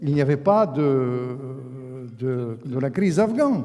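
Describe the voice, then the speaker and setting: Over noticeable background noise and audible room echo, a man with a Russian accent speaks very slowly with lively intonation. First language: Russian (speaking French). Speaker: author and former diplomat. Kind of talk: public lecture. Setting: conference hall with audience. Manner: halting, with repetitions.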